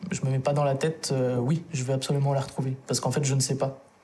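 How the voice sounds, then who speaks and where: Over noticeable background noise, a man speaks with a fairly high pitch. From France, Lyon region. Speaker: adoptee. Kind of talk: testimony.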